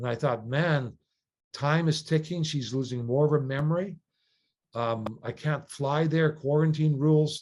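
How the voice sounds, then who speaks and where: A man speaks at a fairly slow pace with a Canadian accent, his pitch fairly high and his intonation fairly even. It is an unremarkable speaking voice, set against a quiet background. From Canada. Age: 60s. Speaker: sailor and non-profit leader. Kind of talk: interview.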